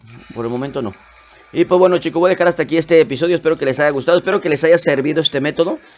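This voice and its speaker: A speaker with a Mexican accent talks over music in the background. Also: man. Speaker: gaming youtuber. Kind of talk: gameplay commentary. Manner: casual.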